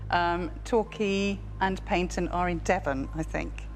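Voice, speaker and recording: Music plays in the background. A woman speaks with an English accent. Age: 60s. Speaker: quiz contestant. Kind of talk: thinking aloud on a quiz.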